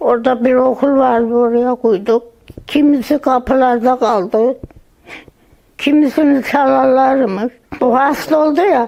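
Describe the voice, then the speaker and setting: A woman talks very slowly at a high pitch, with very even loudness and fairly even intonation, over noticeable background noise. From Andırın, Osmaniye, southern Turkey. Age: 80s+. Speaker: earthquake survivor. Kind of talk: interview answer.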